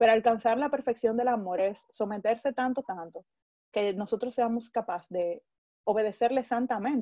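A woman's plain, everyday voice, fairly high in pitch with ordinary variation, at a moderate pace. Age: 20s. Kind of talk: religious talk.

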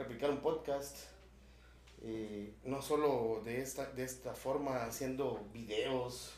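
A man with a Guatemalan accent, over noticeable background noise and audible room echo. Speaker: podcast host. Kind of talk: casual chat.

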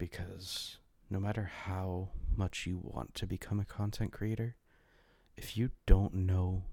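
Very slowly, a man with a very deep, low pitch and a dark, mellow, somewhat breathy tone speaks with fairly even intonation in a very clean recording with a silent background. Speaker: podcast host. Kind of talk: solo monologue. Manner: halting.

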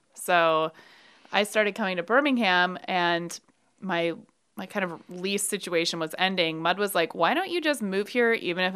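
A woman with an unremarkable speaking voice, an American accent, medium pitch, ordinary pitch variation and a moderate pace, on a very clean recording with a silent background. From Brooklyn, New York. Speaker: bar owner. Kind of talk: casual chat.

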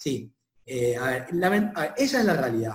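This is a man speaking. His pitch is fairly high. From Argentina, Chaco (north). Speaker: software company director. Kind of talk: interview conversation. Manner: halting, with many repetitions and fillers.

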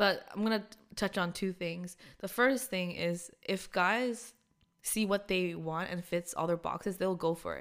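A woman's normal speaking voice, medium in pitch, at a fairly slow pace. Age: 20s. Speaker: podcast co-host. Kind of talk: casual chat.

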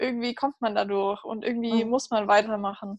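A woman speaks at a fairly high pitch. The sound is dry and close, without any echo. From Munich, Bavaria. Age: 20s. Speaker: bereaved sibling. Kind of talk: personal testimony interview. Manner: halting, many fillers.

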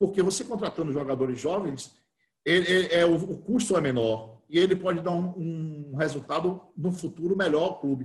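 A man's high voice moves at a moderate tempo, its pitch varying in an ordinary way. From Bahia, Brazil (interior, Cruz das Almas). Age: 50s. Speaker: football club council candidate. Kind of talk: interview. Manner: halting.

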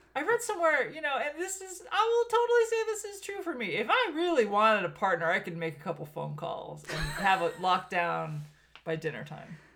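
A woman with an American accent, fairly quick, big swings in loudness, noticeable background noise. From Southern California (Armenian American). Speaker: podcast host. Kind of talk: casual chat.

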